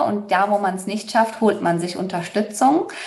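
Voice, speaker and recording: A woman of medium pitch is heard with music in the background. The room echo is audible. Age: 30s. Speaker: human design coach, former finance worker. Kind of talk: interview.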